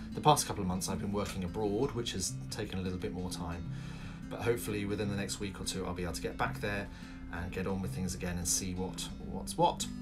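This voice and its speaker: A man at a very fast pace, with clear music in the background. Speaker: vlogger renovating a cottage. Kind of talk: casual vlog chat. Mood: friendly, smiling. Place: home room. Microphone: phone near.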